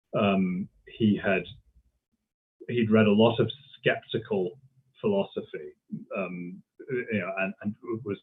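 In a British accent, the speaker talks at a fairly slow pace with fairly even intonation. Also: man. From Britain. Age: 40s. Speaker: history professor. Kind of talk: interview. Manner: halting, many fillers and repetitions.

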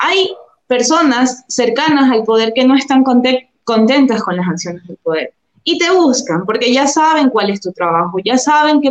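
This woman's voice sits high. Her pitch swings very widely. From Ecuador, Durán near Guayaquil. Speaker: journalist. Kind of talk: interview.

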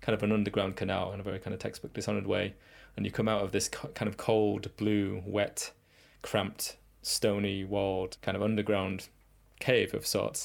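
A man speaks in a fairly low pitch with vocal fry. His intonation stays monotone and flat. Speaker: game level designer. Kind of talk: casual interview chat.

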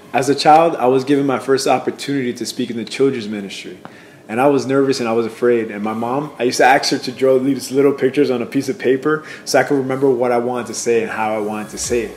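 Talking very fast at a medium pitch, a man keeps his intonation fairly even while background noise is noticeable. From Puerto Rico, then New York City. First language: Spanish. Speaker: church member, youth leader. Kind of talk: personal testimony.

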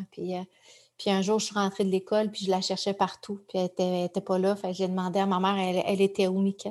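Flat, monotone intonation carries the words at a fairly quick clip. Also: woman, medium pitch for a woman. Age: 40s. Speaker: journalist and author. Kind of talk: personal testimony in an interview.

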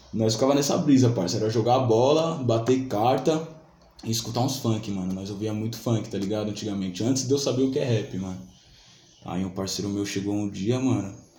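A man speaks at a medium pitch with ordinary pitch variation. His pace is fairly quick, and there is audible room echo. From Brazil, São Paulo south zone (Vila Saúde). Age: 20s. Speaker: rapper and beatmaker. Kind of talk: casual chat.

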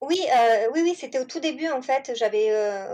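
Over a quiet background, a woman talks at a moderate pace. She has a normal speaking voice. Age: 40s. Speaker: home-schooling mother. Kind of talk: interview.

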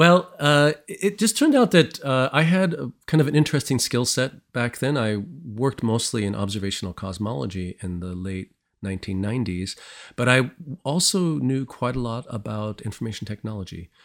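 A man with an American accent speaks at a moderate pace in a medium pitch, his voice swinging very widely up and down, on a very clean recording with a silent background. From US Midwest, St. Louis, Missouri. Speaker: planetary scientist. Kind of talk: interview. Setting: studio.

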